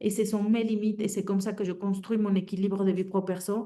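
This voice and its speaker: In a Mexican accent, a woman talks with a dark, mellow tone. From Mexico. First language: Spanish (speaking French). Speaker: career transition coach. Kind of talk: webinar talk. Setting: online webinar. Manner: hesitant, many fillers.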